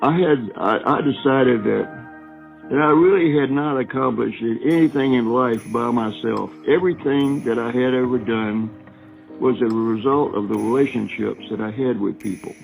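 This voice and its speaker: Music plays behind a man speaking at a moderate pace. His voice sits at a medium pitch with ordinary variation. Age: 80s+. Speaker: retired navy submarine officer. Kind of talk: interview answer.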